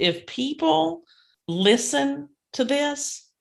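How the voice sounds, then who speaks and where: A woman with a strong Kentucky accent speaks at a medium pitch with very wide pitch swings. Her voice is somewhat breathy. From rural Kentucky. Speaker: podcast co-host, inspirational speaker. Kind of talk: casual chat.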